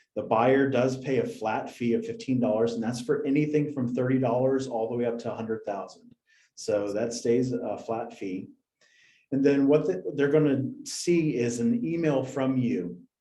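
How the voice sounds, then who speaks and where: Audible room echo surrounds a man's dark, mellow, medium-pitched voice, which has ordinary pitch variation and a moderate pace. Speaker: software company representative presenting to real estate agents. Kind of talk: product presentation on a video call.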